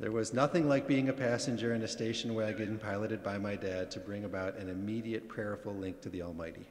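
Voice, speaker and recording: With audible room echo, a man talks at a very fast pace with hardly any pauses. His voice is fairly low, with ordinary pitch variation. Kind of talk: eulogy read from notes. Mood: warm, gently humorous. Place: church. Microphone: podium.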